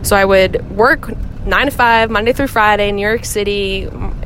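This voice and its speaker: Noticeable background noise surrounds a woman speaking at medium pitch. She keeps a moderate pace and fairly even intonation. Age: 20s. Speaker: affiliate marketing manager and yoga teacher. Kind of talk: recorded interview answers.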